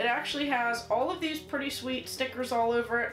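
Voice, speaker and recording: A woman speaks at a moderate pace with a high pitch and ordinary pitch variation. Faint music plays in the background, and room echo is audible. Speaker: toy reviewer. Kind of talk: casual toy review chat. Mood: upbeat, enthusiastic. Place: home room. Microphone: camera far.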